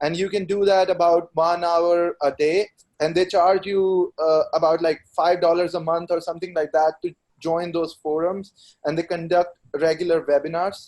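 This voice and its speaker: Speaking in an Indian accent at a moderate pace, a man holds a high pitch with monotone, flat intonation. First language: Hindi. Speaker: IELTS test taker. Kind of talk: webinar discussion.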